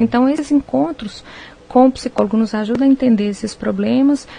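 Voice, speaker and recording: Over noticeable background noise, a woman with a high voice talks at a fairly quick pace. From Minas Gerais, Brazil (Viçosa). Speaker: nutritionist. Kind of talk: radio interview.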